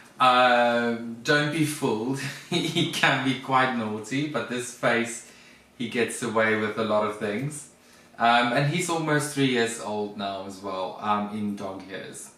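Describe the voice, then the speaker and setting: Speaking very slowly in a South African accent with ordinary pitch variation, the voice comes through noticeable background noise and audible room echo. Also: man, medium pitch for a man. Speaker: vlogger, former flight attendant. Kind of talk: casual chat.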